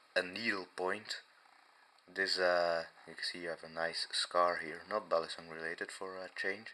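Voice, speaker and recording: The speaker, a man, has a non-native accent. He talks at a moderate speed. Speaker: knife reviewer. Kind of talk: casual talk to camera. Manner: hesitant, many fillers.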